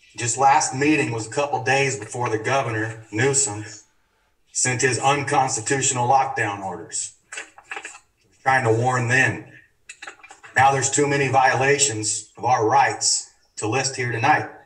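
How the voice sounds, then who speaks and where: Over a quiet background, a man talks at a fairly slow pace with long, frequent pauses. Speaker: public commenter. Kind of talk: public comment speech. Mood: earnest, persuasive. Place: hall. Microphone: camera far.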